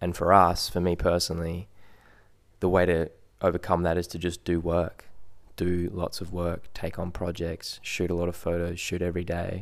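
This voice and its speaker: A man's very deep, low voice in an Australian accent, monotone and flat, at a moderate pace, in a very clean recording with a silent background. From Perth and Sydney, Australia. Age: 20s. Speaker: photographer. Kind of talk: casual chat.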